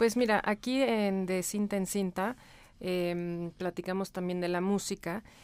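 Recorded very cleanly with a silent background, a woman uses a normal speaking voice at medium pitch. She speaks at a fairly slow pace with fairly even intonation. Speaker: podcast co-host. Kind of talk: casual chat.

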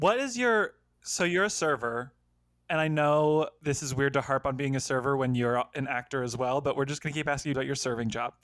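Over a very clean recording with a silent background, a man with an unremarkable speaking voice talks fairly quickly at a fairly high pitch, with ordinary pitch variation. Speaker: podcast co-host. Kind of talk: casual comedic chat.

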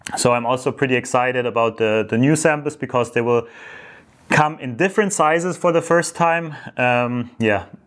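A man with a German accent talks at a fairly high pitch. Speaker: entrepreneur vlogger. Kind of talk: monthly business update vlog. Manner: halting, many fillers.

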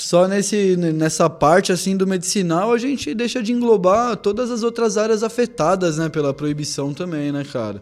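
A man speaks at a high pitch with lively intonation. He leaves hardly any pauses. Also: moderate pace. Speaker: podcast co-host. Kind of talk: casual interview.

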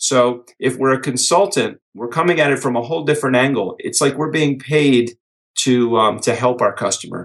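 A normal speaking voice belongs to a man talking at a middling speed. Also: medium pitch for a man, ordinary pitch variation. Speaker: author and business speaker. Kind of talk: podcast interview.

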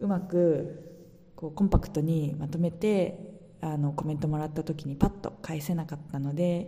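A woman's very deep, low voice at a moderate pace. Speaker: podcaster. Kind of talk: casual monologue.

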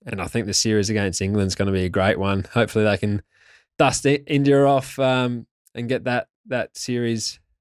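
Someone with an Australian accent speaks at a moderate pace with fairly even intonation. The recording is very clean with a silent background and a dry, close sound with no echo. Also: man. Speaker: former test cricketer. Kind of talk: interview. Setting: studio.

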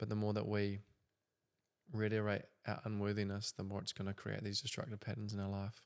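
A fairly low-pitched man at a fairly quick pace, monotone and flat in intonation. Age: 20s. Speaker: podcast host. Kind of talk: casual chat.

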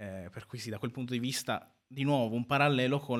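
Here is a man with an ordinary speaking voice, medium pitch and fairly even intonation, talking at a fairly quick pace. The recording is very clean, with a silent background. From northern Italy, Sicilian family. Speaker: activist, law student. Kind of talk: live radio interview. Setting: radio studio.

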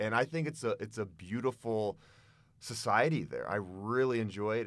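In a normal speaking voice with an American accent, someone talks at a fairly quick pace with lively intonation. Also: man, very clean recording, silent background. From Boulder, Colorado, US. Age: 40s. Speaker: adventure vlogger. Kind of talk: casual interview.

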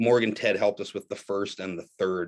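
A man in a normal speaking voice, fairly low-pitched, at a moderate pace with fairly even intonation, against a quiet background. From Canada. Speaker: metal musician and English teacher. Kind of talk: casual chat.

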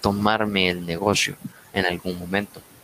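Noticeable background noise and a flat, monotone delivery. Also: man. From Latin America. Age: 20s. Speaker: bar manager. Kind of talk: casual chat.

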